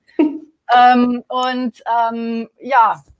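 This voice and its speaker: A woman's voice, fairly high in pitch. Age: 40s. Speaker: accountant. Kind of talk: interview testimony. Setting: live online interview. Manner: hesitant, many fillers.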